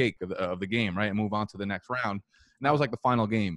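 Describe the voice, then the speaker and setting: Against a quiet background, a man talks with fairly even intonation in an ordinary speaking voice, fairly low in pitch, and the sound is dry with no echo. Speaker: podcast guest. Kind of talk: interview answer. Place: home room. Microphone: studio mic.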